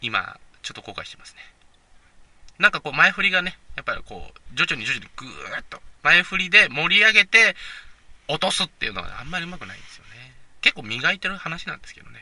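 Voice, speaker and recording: A man with a bright, sharp tone and a high pitch talks at a very fast pace with lively intonation and big swings in loudness, the sound dry and close with no echo. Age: 20s. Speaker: podcast host. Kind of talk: casual solo monologue. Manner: hesitant, many fillers.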